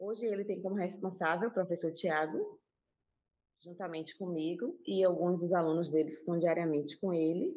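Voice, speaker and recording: The voice has a dark, mellow tone and fairly even intonation at a moderate pace. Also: woman. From Salvador, Bahia, Brazil (Castelo Branco neighborhood). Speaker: community cultural space manager. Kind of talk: casual panel discussion.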